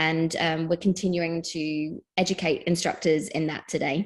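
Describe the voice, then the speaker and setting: A woman's fairly low pitch and monotone, flat intonation in a British accent, at a moderate pace against a quiet background. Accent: British accent, noticeable. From England. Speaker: fitness educator. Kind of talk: interview.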